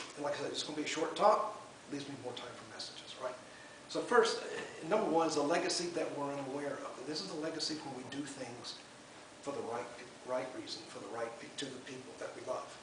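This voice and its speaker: A man with an American accent talks very fast at a fairly high pitch with ordinary pitch variation, his loudness swinging widely amid audible room echo and noticeable background noise. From US South. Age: 70s. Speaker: spiritualist medium and speaker. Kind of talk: sermon. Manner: casual and rambling.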